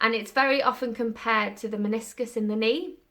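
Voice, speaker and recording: In a normal speaking voice, a woman talks at a moderate pace with fairly high pitch and ordinary pitch variation. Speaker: vlogger and musical performer (skater). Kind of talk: casual vlog update.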